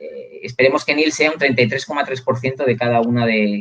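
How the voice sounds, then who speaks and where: This man's voice sits at a medium pitch and varies in an ordinary way. He moves along at a fairly quick clip. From Catalonia, Spain. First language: Catalan (speaking Spanish). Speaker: university lecturer. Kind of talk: live video interview.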